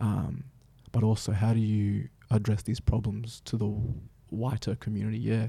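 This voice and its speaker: Speaking at a moderate pace with long, frequent pauses, a man has a fairly low pitch and a dark, mellow, somewhat breathy tone. The recording is very clean, with a silent background. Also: fairly even intonation. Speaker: dancer and storyteller. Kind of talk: casual interview chat.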